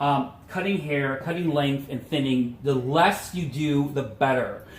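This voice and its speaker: Noticeable background noise and audible room echo fill this recording of a man. His pitch is fairly high, with ordinary pitch variation. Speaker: hairstylist. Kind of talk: tutorial. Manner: animated.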